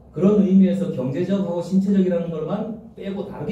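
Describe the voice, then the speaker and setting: A man talks at a fairly quick pace in a high pitch. Audible room echo and noticeable background noise fill the recording. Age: 60s. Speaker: community leader. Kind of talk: presentation to a group meeting.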